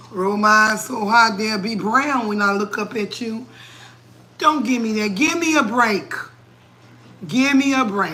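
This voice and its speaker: A fairly high, animated female voice at a fairly slow pace, with ordinary pitch variation, long and frequent pauses, and audible room echo. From New England. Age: 40s. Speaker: cooking livestreamer. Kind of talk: livestream chat, motivational rant. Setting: live stream at home, late night. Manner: animated, preachy.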